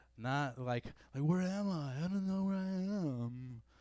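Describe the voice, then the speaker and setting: A man uses a put-on character voice with fairly high pitch. His intonation is lively and his pace fairly slow. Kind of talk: casual. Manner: dazed, bewildered.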